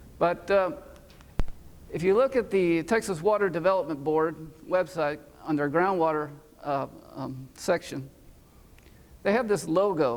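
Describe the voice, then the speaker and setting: Leaving long, frequent pauses, a man with a high voice talks at a moderate pace with ordinary pitch variation. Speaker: research scientist. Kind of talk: conference talk. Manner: hesitant, many fillers.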